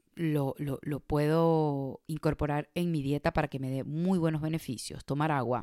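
A woman speaks at a fairly slow pace with a very deep, low pitch. The recording is very clean with a silent background, and the sound is dry and close with no echo. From Venezuela. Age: 30s. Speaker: podcast host. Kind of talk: casual monologue.

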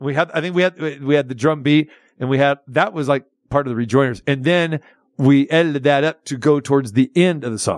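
With a normal speaking voice, a man talks fairly high in pitch and varies it in an ordinary way. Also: fairly quick pace. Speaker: radio host. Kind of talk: casual radio talk show chat.

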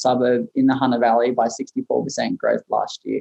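Here a man speaks with an Australian accent at medium pitch. His pace is fairly quick. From Maitland, New South Wales, Australia. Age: 20s. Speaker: real estate agent. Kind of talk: casual interview.

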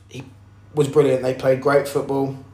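Noticeable background noise is present. A man speaks with a fairly high pitch. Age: 20s. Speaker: football podcast host. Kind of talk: solo podcast monologue. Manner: hesitant, many fillers.

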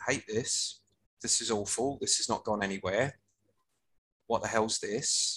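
A man speaks with a southern English accent. His pace is fairly slow. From Hertfordshire, England. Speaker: music rights professional. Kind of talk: casual chat.

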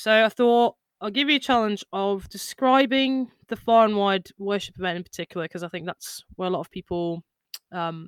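A woman with a normal speaking voice, medium pitch and lively intonation talks at a moderate pace in a dry, close sound with no echo, on a very clean recording with a silent background. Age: 20s. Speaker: podcast host, worship musician. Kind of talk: casual chat.

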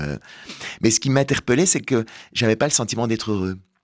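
An ordinary speaking voice with ordinary pitch variation comes through in a very clean recording with a silent background. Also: man. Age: 50s. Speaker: author and stage performer. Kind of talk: radio interview.

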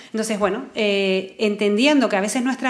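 With a Canarian accent, a woman speaks at a fairly high pitch and a moderate pace, with ordinary pitch variation, audible room echo and noticeable background noise. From Canary Islands. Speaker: psychologist. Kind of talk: casual chat.

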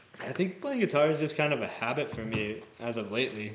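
A man speaks at a moderate pace. The room echo is audible and there is noticeable background noise. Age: 20s. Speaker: singer-songwriter. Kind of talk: casual chat. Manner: halting.

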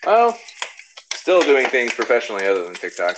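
Noticeable background noise fills the recording. Through it, a man speaks at a very fast pace. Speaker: content creator, former restaurant manager. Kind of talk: casual chat. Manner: hesitant, many fillers.

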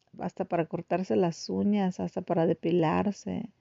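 With ordinary pitch variation, a woman talks at a fairly low pitch. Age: 40s. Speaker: podcaster. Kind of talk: casual monologue. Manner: halting, many repetitions.

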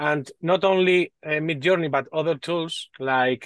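A man talks with a Spanish accent. His pace is very slow. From northern Spain, Basque Country. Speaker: AI enthusiast and developer, telecommunications engineer. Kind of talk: casual interview chat. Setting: video call, from a garden house. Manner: halting, with many repeated words and fillers.

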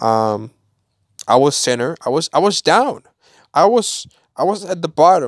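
A man with a fairly high pitch talks in an animated tone, his pitch swinging very widely. He speaks fairly slowly with long, frequent pauses, the sound dry and close with no echo on a very clean recording with a silent background. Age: 18. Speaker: solo podcaster and youtuber. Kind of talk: casual solo monologue. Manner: halting, many repetitions and restarts.

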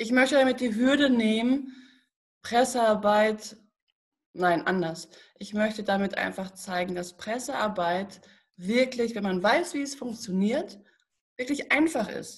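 Somewhat breathy and fairly high-pitched, a woman speaks very slowly with long, frequent pauses and lively intonation. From Germany, Paderborn area (Westphalia). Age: 30s. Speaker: journalist and press consultant. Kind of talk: podcast interview.

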